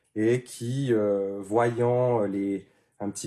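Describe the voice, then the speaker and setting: Monotone, flat intonation from a man, medium in pitch, with a dark, mellow tone. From Switzerland, canton of Neuchâtel. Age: 30s. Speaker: handpan maker. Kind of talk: interview. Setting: workshop. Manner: hesitant, many fillers.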